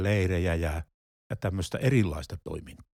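On a very clean recording with a silent background, a man's voice sounds dry and close, without any echo. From Finland, Pieksämäki. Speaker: retired pastor. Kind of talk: casual chat. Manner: halting.

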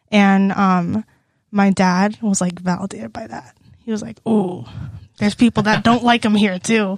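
A woman with an American accent speaks at a moderate pace in a medium, somewhat breathy voice, her intonation fairly even but her loudness swinging widely, on a very clean recording with a silent background. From Texas, Houston area. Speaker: university student. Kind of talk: casual chat.

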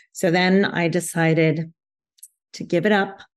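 A woman's dark, mellow voice at medium pitch, with fairly even intonation and a moderate pace, against a quiet background. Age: 60s. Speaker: yoga therapist and author. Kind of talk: interview.

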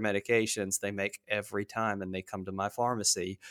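Dry and close with no echo, a man's fairly low voice carries fairly even intonation on a very clean recording with a silent background. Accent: American. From North Carolina. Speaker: pharmacist and medical writer. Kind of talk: interview. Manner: hesitant, many fillers.

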